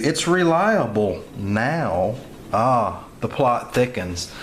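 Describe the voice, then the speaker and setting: With a Southern US accent, a man speaks at a medium pitch with lively intonation. Audible room echo and noticeable background noise fill the recording. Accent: Southern US, remarked on own pronunciation. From US South. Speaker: gun reviewer. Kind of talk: product review. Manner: casual, halting with many fillers.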